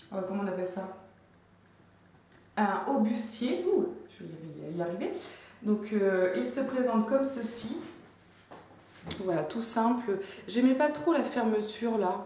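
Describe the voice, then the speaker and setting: Over noticeable background noise, a woman with a Belgian accent talks very slowly at a fairly high pitch, her intonation lively and her pauses long and frequent. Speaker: fashion haul vlogger. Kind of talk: casual talk to camera. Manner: chatty, enthusiastic.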